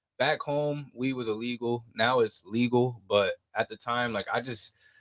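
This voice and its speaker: The sound is dry and close, with no echo. A man with an American accent talks in an ordinary speaking voice. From New Jersey. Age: 20s. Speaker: musician. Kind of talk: casual chat. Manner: laid-back, filler-heavy.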